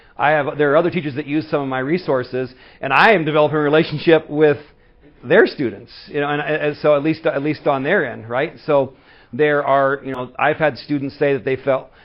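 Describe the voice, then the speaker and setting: A man at a fairly high pitch and a fairly quick pace. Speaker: community college instructor. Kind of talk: conference presentation. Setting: stage with audience. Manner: fast; animated.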